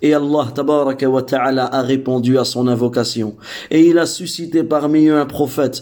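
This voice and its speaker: Here a man with a non-native accent speaks at a moderate pace with a medium pitch and a dark, mellow tone. His intonation is fairly even and his loudness very even. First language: not Arabic (speaking French). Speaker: Islamic religious teacher. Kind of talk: religious lesson. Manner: hesitant, with fillers and repetitions.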